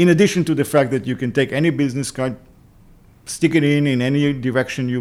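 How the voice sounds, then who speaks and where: A man speaks with an Israeli accent. He talks very fast. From Israel, Jerusalem. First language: Hebrew. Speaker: tech entrepreneur. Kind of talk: interview.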